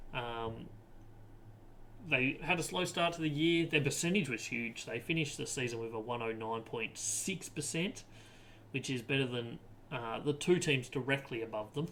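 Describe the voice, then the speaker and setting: In an Australian accent, a man talks at a medium pitch with ordinary pitch variation. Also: moderate pace. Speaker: footy podcast host. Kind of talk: sports analysis podcast. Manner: frequent filler ums.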